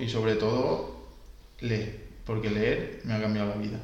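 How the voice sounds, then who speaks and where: A man speaks at medium pitch. Noticeable background noise and audible room echo surround him. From Valencia, Spain. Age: 20s. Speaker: podcast co-host, swimming instructor. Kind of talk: casual podcast chat. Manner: some hesitations and fillers.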